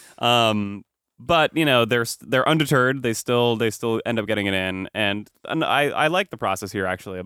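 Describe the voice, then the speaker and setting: A man with an American accent and a normal speaking voice, fairly low in pitch, at a fairly quick pace. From US East Coast suburbs. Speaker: podcast host. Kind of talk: casual chat.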